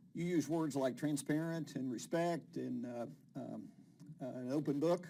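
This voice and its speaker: Speaking with a West Virginia accent, a man uses a fairly high pitch, a dark, mellow tone, fairly even intonation and a fairly slow pace. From West Virginia, Huntington. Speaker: TV show host. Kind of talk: interview.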